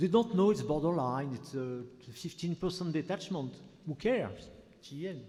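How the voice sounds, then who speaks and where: A man with a French accent speaks at a moderate pace with lively intonation. His fairly high voice has a dark, mellow tone. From France. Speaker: physician, audience member. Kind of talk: conference Q&A. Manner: halting.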